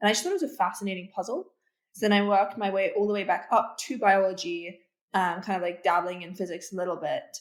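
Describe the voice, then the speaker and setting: A woman with a British accent talks at a very fast pace, her medium pitch held in fairly even intonation. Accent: somewhat British. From Russia. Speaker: PhD student in immunology. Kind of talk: interview. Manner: hesitant, many fillers.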